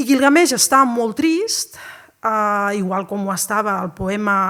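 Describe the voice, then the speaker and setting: The woman's voice has a bright, sharp tone. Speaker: university lecturer. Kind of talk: public lecture on an ancient poem.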